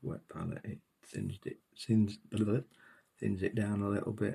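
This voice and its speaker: A soft-spoken man with a British accent talks in a dark, mellow tone that is somewhat breathy. He leaves long, frequent pauses. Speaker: miniature painting hobbyist. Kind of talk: tutorial.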